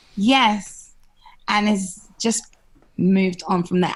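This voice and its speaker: A woman with a strong London accent speaks at a medium pitch and a very slow pace, her voice somewhat breathy. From London, England. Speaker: TV and radio presenter. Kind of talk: podcast interview. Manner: animated.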